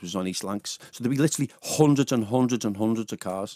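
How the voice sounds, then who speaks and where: Talking at a very fast pace in a Liverpool accent, a man has a fairly low pitch with ordinary pitch variation, recorded dry with no echo. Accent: Liverpool (Scouse). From Liverpool, England. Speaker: radio DJ. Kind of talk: personal testimony in a radio interview. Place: studio. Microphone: studio mic.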